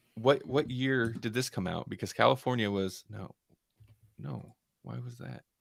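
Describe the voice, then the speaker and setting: A man mumbles in a put-on character voice at a medium pitch and a moderate pace, his loudness swinging widely. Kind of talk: casual, thinking aloud. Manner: mumbling to self.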